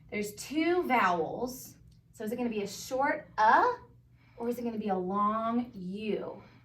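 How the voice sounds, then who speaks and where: Against noticeable background noise and audible room echo, a woman speaks at a fairly slow pace with lively intonation and a fairly high pitch. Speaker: first grade teacher. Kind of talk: tutorial.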